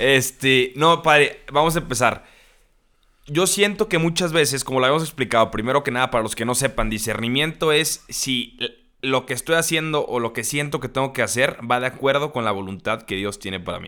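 A man with a bright, sharp tone talks at a fairly quick pace and medium pitch, his intonation lively and his loudness swinging widely. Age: young. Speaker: podcast host. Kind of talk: casual chat.

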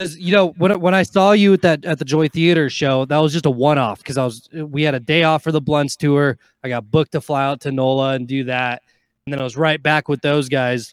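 An unremarkable speaking voice from a man with an American accent, fairly high pitch, ordinary pitch variation and a fairly quick pace, in a dry, close sound with no echo on a very clean recording with a silent background. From Nevada, Carson City. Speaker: DJ/electronic music artist. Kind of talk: casual chat.

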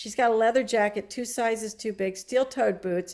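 With an American accent, a woman talks at a moderate pace in a fairly high pitch with ordinary pitch variation, an ordinary speaking voice. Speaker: playwright. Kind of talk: casual interview.

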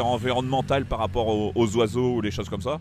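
A man with a medium pitch talks at a very fast pace, keeping his intonation fairly even. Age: 50s. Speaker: local resident. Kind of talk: interview. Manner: hesitant, many fillers.

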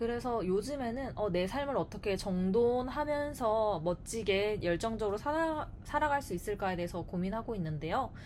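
At a moderate pace with hardly any pauses, a woman with a fairly high pitch uses lively intonation in an ordinary speaking voice. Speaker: Korean language teacher. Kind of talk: scripted casual chat.

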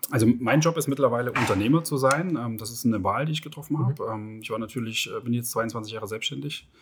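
Over noticeable background noise, a man talks at a very fast pace with hardly any pauses. His pitch is medium with ordinary variation, and his loudness swings widely. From Germany, Leipzig (Saxony). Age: 40s. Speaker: entrepreneur. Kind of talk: interview. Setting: outdoors at a racecourse.

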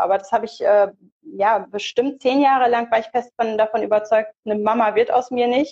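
Her tone dark and mellow, a woman talks at a moderate pace with a fairly high pitch and ordinary pitch variation. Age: 30s. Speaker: theologian and online pastoral counselor. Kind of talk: casual interview. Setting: live stream.

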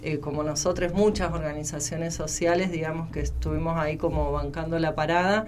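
A woman with a Buenos Aires accent talks at a fairly quick pace with hardly any pauses. Noticeable background noise and audible room echo surround her voice. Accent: sounds like Buenos Aires. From Argentina, southern Santa Fe province. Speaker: social worker and activist. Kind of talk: interview.

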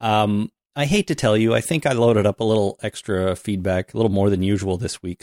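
Speaking at a fairly quick pace, a man with an unremarkable speaking voice and a fairly low pitch is heard in a dry, close sound with no echo. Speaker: podcast host. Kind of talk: casual chat.

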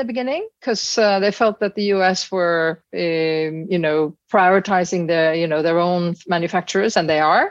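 With a Norwegian accent, a woman talks at a moderate pace with ordinary pitch variation and hardly any pauses. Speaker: business executive. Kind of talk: interview. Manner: animated.

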